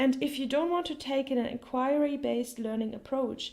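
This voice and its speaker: The voice has a dark, mellow tone. It comes with a German accent. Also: woman. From Germany. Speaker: language teacher. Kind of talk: tutorial.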